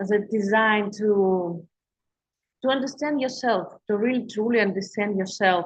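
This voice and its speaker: With a Russian accent, a woman speaks at a fairly slow pace in a fairly high, somewhat breathy voice with ordinary pitch variation. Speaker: intuitive healer and coach. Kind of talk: livestream talk to viewers. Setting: live stream on social media. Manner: halting, many fillers and restarts.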